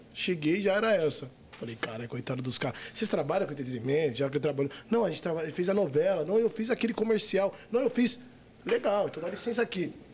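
Against noticeable background noise, a man talks very fast in a high pitch that swings very widely. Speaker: adult film actor. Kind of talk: casual chat.

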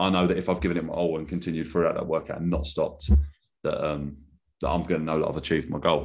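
Against a quiet background, a man with a southern English accent speaks with fairly even intonation. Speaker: podcast host and adaptive trainer. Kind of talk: interview.

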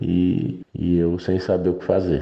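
Noise is noticeable in the background as a man talks in a very deep, low voice. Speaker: listener sharing a story. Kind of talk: voice message storytelling.

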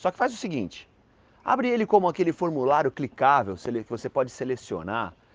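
Very wide pitch swings at a fairly quick pace. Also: man, quiet background. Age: 40s. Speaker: event caterer. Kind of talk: advice segment.

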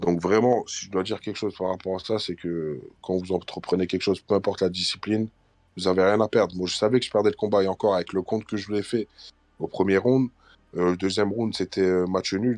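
A man with a fairly low pitch talks at a very fast pace with fairly even intonation, the sound dry and close with no echo against a quiet background. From France, Portuguese community. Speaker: MMA fighter. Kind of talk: casual interview.

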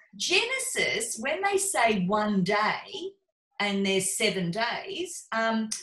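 In an Australian accent, a woman talks at a very slow pace with a fairly high pitch. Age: 50s. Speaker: podcast host and coach. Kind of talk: casual chat.

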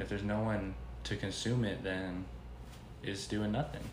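The voice is somewhat breathy. Audible room echo surrounds it. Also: man. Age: under 20. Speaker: young entrepreneur / artist. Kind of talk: casual chat.

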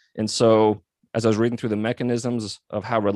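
A man speaks in an ordinary speaking voice at a fairly low pitch and fairly quick pace. The recording is very clean with a silent background, and the sound is dry and close with no echo. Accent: American. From Montana. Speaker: physical therapist and company founder. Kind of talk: interview.

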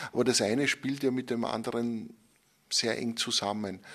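A man with an Upper Austrian accent, fairly even intonation and a fairly slow pace, against a quiet background. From Upper Austria (Enns). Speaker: magazine editor and journalist. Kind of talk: interview. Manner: hesitant, with frequent word repetitions.

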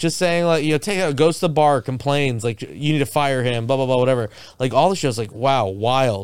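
The recording is very clean, with a silent background, and a man speaks at a fairly high pitch. He has a plain, everyday voice with ordinary pitch variation. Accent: American. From South Florida. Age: 30s. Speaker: karaoke DJ and filmmaker. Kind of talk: casual chat. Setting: studio.

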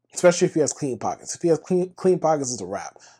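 A man's dark, mellow tone at a very fast pace against a quiet background. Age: 30s. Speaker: podcast host. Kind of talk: casual sports rant monologue. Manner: animated.

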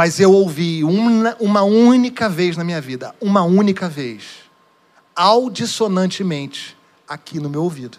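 Speaking fairly slowly, a high-pitched man uses lively intonation with big swings in loudness. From Rio de Janeiro state, Duque de Caxias. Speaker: pastor. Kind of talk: sermon. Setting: church.

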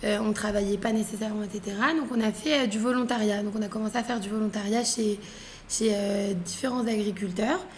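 A woman at a fairly high pitch and moderate pace, fairly even in intonation, with noticeable background noise. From France, Paris. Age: 20s. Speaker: entrepreneur. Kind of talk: casual chat.

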